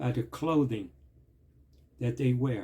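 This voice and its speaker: Vocal fry colors a man's dark, mellow voice, pitched in the medium range with ordinary pitch variation. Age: 60s. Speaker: vlogger, former street hustler giving life advice. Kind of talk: impassioned address to camera. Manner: animated.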